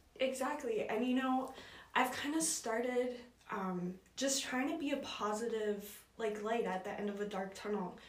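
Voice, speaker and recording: A woman with a Canadian Prairie accent speaks at a fairly high pitch with ordinary pitch variation, and the room echo is audible. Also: moderate pace. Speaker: university student. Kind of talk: personal testimony.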